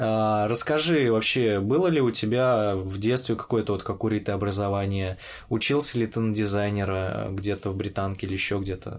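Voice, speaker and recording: Here a man with a normal speaking voice and a fairly low pitch talks at a moderate pace with ordinary pitch variation. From Orenburg, Russia. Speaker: podcast host. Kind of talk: casual interview chat.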